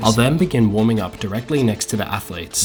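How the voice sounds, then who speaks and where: A man with an Australian accent talks at a very fast pace and medium pitch. Noticeable background noise is audible. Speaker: climber and videographer vlogger. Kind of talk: vlog narration.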